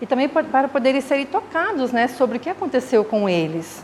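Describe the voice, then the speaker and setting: Over noticeable background noise, a woman with a high voice speaks at a fairly quick pace, her pitch swinging very widely. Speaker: spiritist lecturer, mental health worker. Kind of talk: lecture. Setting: spiritist center with audience, microphone. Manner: halting, many fillers. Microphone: too quiet at start.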